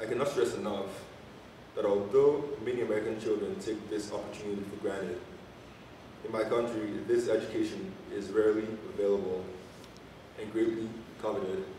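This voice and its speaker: Amid noticeable background noise and audible room echo, a man with a fairly low pitch speaks at a fairly quick pace with fairly even intonation and long, frequent pauses. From Nigeria, Enugu. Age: 20s. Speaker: college student and basketball player. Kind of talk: prepared speech to an audience. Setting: church fundraiser event.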